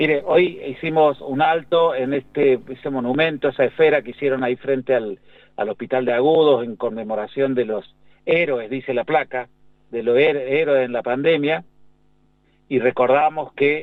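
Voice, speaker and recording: A man talks at a moderate pace in an ordinary speaking voice. His pitch is medium, with ordinary variation. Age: 60s. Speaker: pediatrician and infectious disease doctor. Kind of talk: radio interview.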